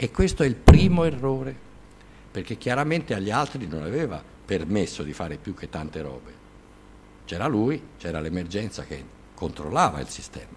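A man's fairly low voice at a moderate pace, with very wide pitch swings, big swings in loudness, long and frequent pauses, and light background noise. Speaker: lecturer on nuclear engineering. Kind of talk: lecture. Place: classroom.

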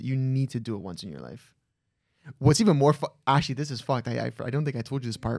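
A man's dark, mellow tone comes through a dry sound with no echo against a quiet background. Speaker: podcast host. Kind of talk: casual podcast storytelling. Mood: animated, amused storytelling. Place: studio. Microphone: studio mic.

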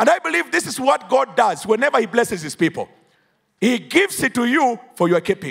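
A man speaks in an animated tone, his pitch swinging very widely. The background is quiet. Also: fairly quick pace. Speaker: preacher. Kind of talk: sermon. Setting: church. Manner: animated, call-and-response; emphatic, declamatory. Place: church. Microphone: handheld.

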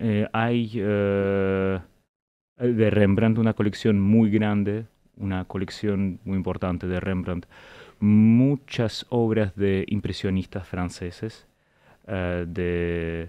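A man's fairly low voice at a very slow pace, fairly even in intonation, against a quiet background. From Russia, St Petersburg; Russia. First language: Russian (speaking Spanish). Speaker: historian; guest. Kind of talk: interview. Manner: halting. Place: studio. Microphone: studio mic.

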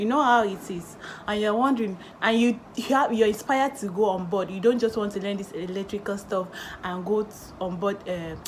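At a fairly quick pace, a woman talks with ordinary pitch variation over light background noise. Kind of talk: tutorial. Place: home room. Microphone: phone near.

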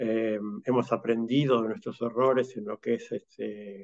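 A man with a plain, everyday voice speaks at medium pitch with fairly even intonation. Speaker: automation industry executive. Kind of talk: panel discussion. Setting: video call.

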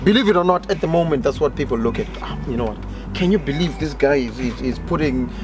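Clear music plays behind a man who speaks at a very fast pace. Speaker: guest. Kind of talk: casual discussion. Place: garden.

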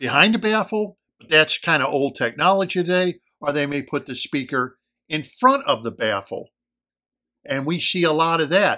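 A man's bright, sharp voice with lively intonation over a quiet background. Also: moderate pace. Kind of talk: explanatory commentary. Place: home room. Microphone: phone near.

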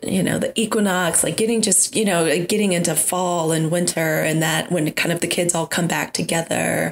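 With noticeable background noise, a woman speaks at a moderate pace in a fairly low voice, keeping very even loudness and fairly even intonation with hardly any pauses. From US South. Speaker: podcast co-host, spiritual practitioner. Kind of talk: casual chat.

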